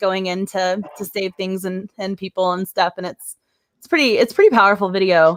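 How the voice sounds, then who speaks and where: A woman speaks at a medium pitch with a slight Texan accent. The sound is dry and close, with no echo. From Texas, Dallas-Fort Worth. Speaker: YouTuber and live-stream host. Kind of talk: casual live-stream chat. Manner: animated, halting with fillers.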